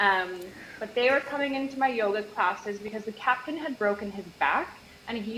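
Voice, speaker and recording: A woman with a Canadian accent, medium-pitched, at a moderate pace with lively intonation, over noticeable background noise. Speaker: nutritionist, former yacht stewardess. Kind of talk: casual interview chat.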